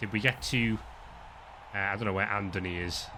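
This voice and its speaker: With a northern English accent, this voice has a bright, sharp tone and fairly even intonation. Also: man. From northern England. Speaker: sports commentator. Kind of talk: live commentary.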